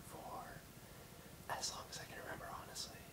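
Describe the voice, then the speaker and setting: Here a man whispers. Noticeable background noise is present as well. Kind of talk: ASMR video with casual rambling talk to camera. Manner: soft-spoken, relaxed, rambling.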